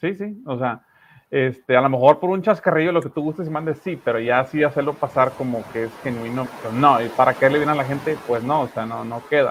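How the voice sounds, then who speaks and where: On a very clean recording with a silent background, a man with a strong Monterrey accent talks fairly quickly in a fairly high voice with ordinary pitch variation. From Monterrey, northern Mexico. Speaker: online news show host. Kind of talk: political discussion. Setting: live stream.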